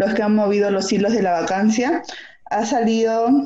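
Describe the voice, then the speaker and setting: A woman with a plain, everyday voice speaks at a medium pitch with ordinary pitch variation. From Peru. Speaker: podcast co-host. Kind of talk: casual chat.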